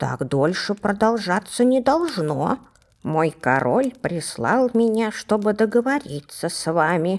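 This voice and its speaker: This is a put-on character voice, female-sounding and squeaky. It sits at a medium pitch for a woman and moves at a fairly slow pace. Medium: read story.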